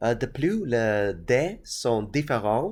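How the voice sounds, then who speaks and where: This man has a medium pitch and a non-native accent, captured in a very clean recording with a silent background. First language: not French (speaking French). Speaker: tabletop gaming youtuber. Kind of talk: casual explainer. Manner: halting, many hesitations.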